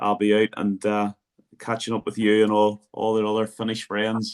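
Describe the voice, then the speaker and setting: A man speaks with a Northern Irish accent at a fairly low pitch. His pace is moderate. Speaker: football coach, podcast host. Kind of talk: podcast interview.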